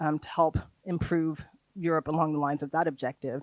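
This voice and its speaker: In a very clean recording with a silent background, a woman speaks with a very deep, low pitch and monotone, flat intonation. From United States. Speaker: trainer on research funding. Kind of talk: workshop lecture. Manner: hesitant, many fillers.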